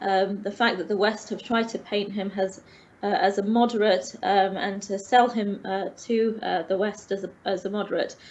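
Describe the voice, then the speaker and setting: A woman's medium-pitched voice in a London accent, with monotone, flat intonation, at a fairly slow pace. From England, London. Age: 30s. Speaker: teacher. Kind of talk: online interview. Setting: online call. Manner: hesitant, many fillers.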